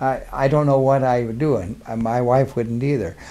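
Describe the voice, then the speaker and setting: A man with an Upper Midwest accent talks at a moderate pace in a medium pitch, his intonation fairly even. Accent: Upper Midwest American. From Minnesota. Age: 80s+. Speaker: war veteran. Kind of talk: oral history interview. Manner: halting.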